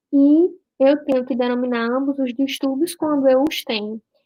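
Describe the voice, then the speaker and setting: Delivery moves at a moderate speed. The intonation is fairly even. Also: woman. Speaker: doctor teaching a class. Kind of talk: online lecture.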